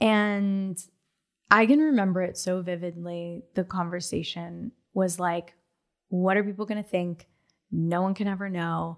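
On a very clean recording with a silent background, a woman with an unremarkable speaking voice talks at a fairly slow pace and medium pitch with fairly even intonation. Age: 30s. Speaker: podcast host. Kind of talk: casual chat.

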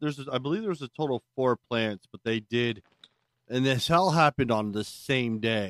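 Here is a normal speaking voice: a man of medium pitch with an American accent and ordinary pitch variation, heard in a dry, close sound with no echo. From Maryland, US. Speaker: podcast co-host. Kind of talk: casual chat.

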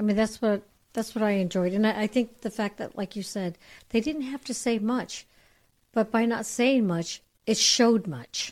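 Using a normal speaking voice, a woman talks at a fairly high pitch and moderate pace with ordinary pitch variation, on a very clean recording with a silent background. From US, San Francisco Bay Area. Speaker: guest. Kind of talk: casual chat. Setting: studio.

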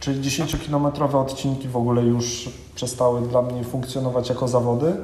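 A man speaks fairly quickly in a room with audible echo and noticeable background noise. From northern Poland, Kwidzyn. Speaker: ultramarathon runner. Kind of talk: casual interview. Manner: halting, with fillers and repetitions.

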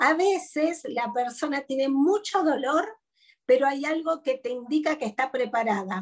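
A woman's high pitch and lively intonation at a fairly slow pace, with an Argentine accent. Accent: Argentine Spanish (voseo). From Argentina, interior. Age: 50s. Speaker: psychologist and speaker. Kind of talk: interview conversation.

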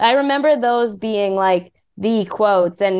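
Speaking in a normal speaking voice, a woman goes at a fairly slow pace, medium in pitch with ordinary pitch variation. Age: 30s. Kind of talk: casual chat.

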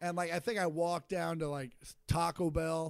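In a plain, everyday voice with an American accent, a man speaks at a moderate pace with fairly even intonation on a very clean recording with a silent background. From Kansas (Shawnee, Kansas City suburb). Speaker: stand-up comedian. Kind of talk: casual chat.

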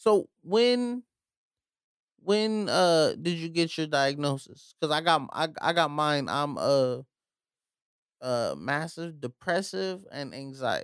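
Over a silent background in a very clean recording, a man with a fairly high pitch speaks very slowly with lively intonation. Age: 20s. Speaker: podcast host. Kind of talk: casual chat.

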